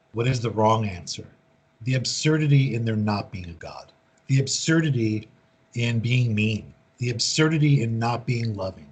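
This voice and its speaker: With an American accent, a man talks at a moderate pace in a somewhat breathy voice of medium pitch and ordinary pitch variation. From US. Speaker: recovery speaker and author. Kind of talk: speaker meeting Q&A.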